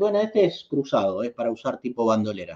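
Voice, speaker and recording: In a Rioplatense accent, a man speaks at a fairly quick pace against a quiet background. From Argentina. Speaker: YouTube host, knife and EDC enthusiast; channel host. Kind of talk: livestream chat reading viewer comments. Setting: live stream. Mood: friendly, relaxed. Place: home room. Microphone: webcam.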